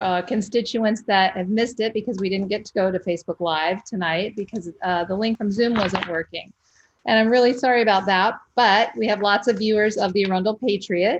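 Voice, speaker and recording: In an ordinary speaking voice, a woman of medium pitch talks fairly quickly with fairly even intonation. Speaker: interview show host. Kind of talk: interview questions.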